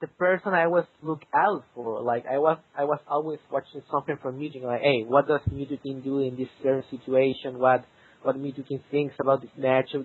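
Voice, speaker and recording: Speaking in a Spanish accent, a man with a fairly high pitch keeps a fairly quick pace and fairly even intonation. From South America. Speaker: competitive gamer. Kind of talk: interview. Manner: halting.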